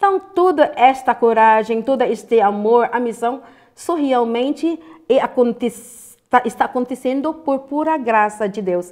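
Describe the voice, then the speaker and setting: Against a quiet background, a woman talks fairly slowly in a high pitch with lively intonation. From Philippines. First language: Filipino (Tagalog) (speaking Portuguese). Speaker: interviewee. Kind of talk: interview. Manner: halting. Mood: warm, earnest, encouraging. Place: studio.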